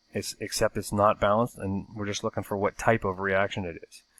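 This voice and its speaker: The delivery is monotone with flat intonation, and the very clean recording has a silent background and a dry, close sound with no echo. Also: man. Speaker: science teacher. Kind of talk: recorded lesson. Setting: recorded video lesson. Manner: casual, hesitant with fillers; fast.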